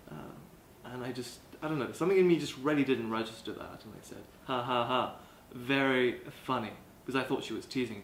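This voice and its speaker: The speech moves at a fairly quick pace with long, frequent pauses, big swings in loudness, ordinary pitch variation and audible room echo. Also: man, medium pitch for a man. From South Africa, Cape Town. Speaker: college student. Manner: halting.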